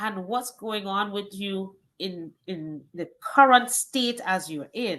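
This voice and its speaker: Speaking at a very slow pace in a Trinidadian accent, a woman has a medium pitch, ordinary pitch variation and a bright, sharp tone. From Trinidad and Tobago. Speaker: wellness coach. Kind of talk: interview.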